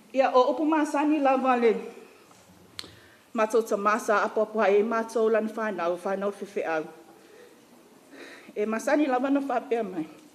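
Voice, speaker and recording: A woman with a Samoan accent talks at a fairly quick pace in a fairly high voice with ordinary pitch variation. Her speech is broken by long, frequent pauses. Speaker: family friend giving a eulogy. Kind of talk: eulogy.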